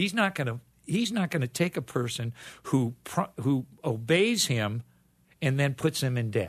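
A man with an American accent speaks at a fairly slow pace. His voice is somewhat breathy, with lively intonation. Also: medium pitch for a man, quiet background. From Ohio, US Midwest. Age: 80s+. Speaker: retired teacher and basketball coach. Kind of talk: interview. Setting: studio.

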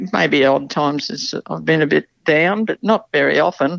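A woman's very deep, low voice with vocal fry, in an Australian accent, at a fairly slow pace with very wide pitch swings. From rural New South Wales, Australia. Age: old. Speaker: city resident sharing life story. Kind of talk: casual interview.

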